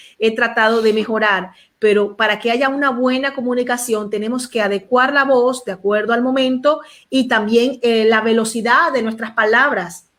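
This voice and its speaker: A woman with an unremarkable speaking voice, fairly high in pitch, at a moderate pace with fairly even intonation. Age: young. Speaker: pastor, show host. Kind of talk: panel discussion.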